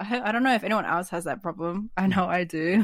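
A woman talks at a moderate pace with an Australian accent. The recording is very clean, with a silent background. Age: 20s. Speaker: artist and stream moderator. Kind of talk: casual interview. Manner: laughs often.

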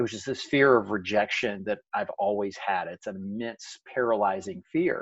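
A man speaks in an ordinary speaking voice. His pitch is medium and his pace moderate. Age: 40s. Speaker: author and motivational speaker. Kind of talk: casual interview.

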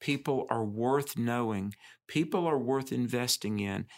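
On a very clean recording with a silent background, a man with an American accent uses a normal speaking voice of medium pitch and ordinary pitch variation. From US South. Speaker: podcast host. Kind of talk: casual chat.

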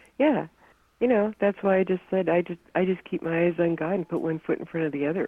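A woman with a plain, everyday voice speaks at a fairly low pitch and fairly quick pace, with ordinary pitch variation. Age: 60s. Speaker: exorcism and deliverance consultant. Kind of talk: interview.

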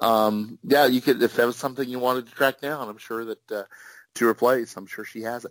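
A man talks at a fairly quick pace in a medium pitch, with fairly even intonation but big swings in loudness. The sound is dry and close, with no echo. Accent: Midwestern US. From Kansas. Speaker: author and greeting card writer. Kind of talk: casual interview chat.

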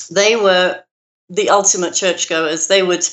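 A woman speaks at a moderate pace in a London accent, her medium-pitched voice keeping a fairly even intonation. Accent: British English, London. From London, England. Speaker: minister and author. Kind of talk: casual interview.

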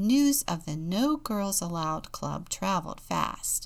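Someone reads in an unforced reading voice.

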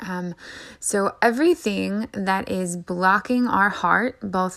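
In a very clean recording with a silent background, a woman talks in a medium pitch with a bright, sharp tone. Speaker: spiritual podcast host. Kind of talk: monologue energy report. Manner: quieter and less fiery than usual; many filler ums.

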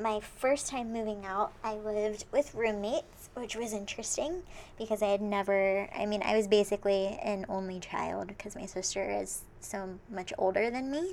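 A plain, everyday voice at a moderate pace. Its pitch varies in an ordinary way, with hardly any pauses. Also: woman, medium pitch for a woman. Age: 20s. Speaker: podcast co-host. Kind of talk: casual chat.

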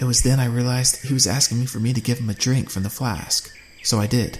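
Fairly even intonation, read aloud in an unforced reading voice

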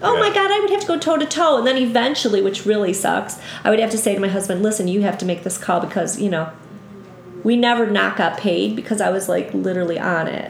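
A woman with a Buffalo accent talks at a very fast pace and medium pitch with lively intonation. Noticeable background noise and audible room echo fill the recording. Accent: Western New York (Buffalo) American. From western New York, south of Buffalo. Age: 50s. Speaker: yoga instructor. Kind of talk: casual interview chat.

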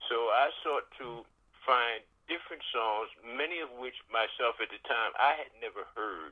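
Over noticeable background noise, a man with an American accent talks at a moderate pace in a medium pitch with ordinary pitch variation. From Philadelphia. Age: 70s. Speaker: radio DJ and military veteran. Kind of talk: casual radio interview. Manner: halting, many fillers.

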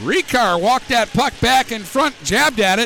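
A man with an American accent speaks in a raised, projected voice at an extremely high pitch. Noticeable background noise can be heard. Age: 50s. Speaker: hockey play-by-play announcer. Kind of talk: live play-by-play hockey commentary, rapid puck-tracking call. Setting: ice arena broadcast booth. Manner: brisk running narration of each pass and player name; chatty, opinionated asides with laughter between plays.

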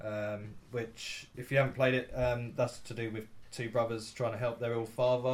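A somewhat breathy man at medium pitch, fairly quick and flat in a monotone. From England. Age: 30s. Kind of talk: game preview presentation; casual chat.

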